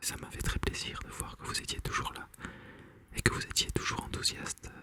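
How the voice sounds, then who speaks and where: A man whispers at a moderate pace. There is noticeable background noise. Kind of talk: casual talk to audience. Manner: whispered.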